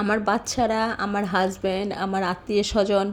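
A woman talks at a medium pitch. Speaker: cooking vlogger. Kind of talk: cooking tutorial. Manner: speaking with some difficulty.

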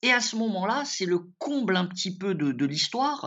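A man's voice rises and falls in very wide pitch swings. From France (left Morocco at age 7). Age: 40s. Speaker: lawyer. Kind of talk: interview. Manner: hesitant, many fillers.

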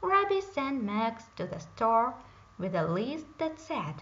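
Speaking at a slow pace with big pitch swings, a woman has a fairly high voice, and the room echo is audible.

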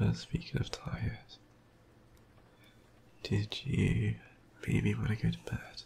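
In a put-on character voice, someone whispers slowly with a husky, rough edge and vocal fry. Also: man.

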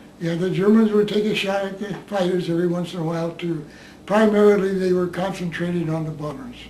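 Talking very fast in a high voice with an American accent, a man keeps his intonation fairly even amid light background noise and audible room echo. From United States. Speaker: war veteran. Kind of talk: interview. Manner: halting. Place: home room.

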